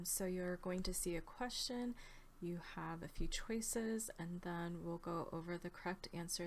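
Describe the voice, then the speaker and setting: In an American accent, a woman speaks at a fairly slow pace against light background noise. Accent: sounds American. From United States, from age twelve; born in Australia. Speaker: quiz video host. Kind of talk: trivia quiz presentation. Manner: casual, conversational. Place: home room. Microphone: webcam.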